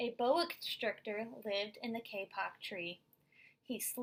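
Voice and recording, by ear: The text is read aloud in a natural voice.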